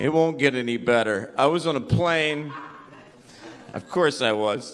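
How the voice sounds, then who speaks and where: A man talks at a fairly slow pace with a fairly high pitch and ordinary pitch variation. Noticeable background noise and audible room echo are present. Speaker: stand-up comedian. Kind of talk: stand-up. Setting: stage with audience.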